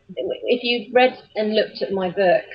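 This is a woman's voice. She speaks with an English accent. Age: 40s. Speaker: children's author and voiceover artist. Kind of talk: interview. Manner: halting, many fillers and repeats.

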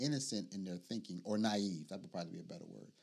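With ordinary pitch variation, a man uses an unremarkable speaking voice, fairly low in pitch. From Chicago South Side. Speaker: podcast co-host. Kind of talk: casual chat.

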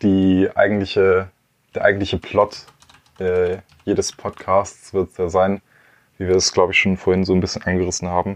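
Speaking at a moderate pace with long, frequent pauses, a man uses a very deep, low pitch and a monotone, flat intonation. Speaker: podcast co-host. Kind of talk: casual chat.

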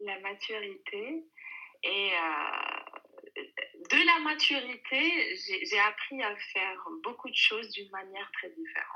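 A woman with a high voice speaks very slowly. Her pitch swings very widely and her loudness shifts a lot. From Algeria. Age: 30s. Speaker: working mother. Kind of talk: interview. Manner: hesitant.

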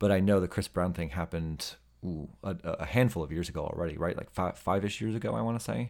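A man's very deep, low voice at a very fast pace, with vocal fry, ordinary pitch variation, and an American accent. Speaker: podcast host, fan. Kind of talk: casual chat. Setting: remote call. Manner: talkative, halting, filler words.

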